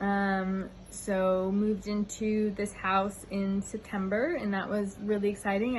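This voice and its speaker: Speaking at a moderate pace, a woman keeps her pitch in the medium range. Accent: American. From United States. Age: 30s. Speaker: YouTuber. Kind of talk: casual vlog monologue. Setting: outdoors on a veranda. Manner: hesitant, many fillers.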